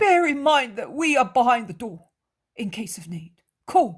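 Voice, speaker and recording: A man's extremely high voice makes very wide pitch swings. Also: moderate pace, big swings in loudness. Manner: quiet, hushed.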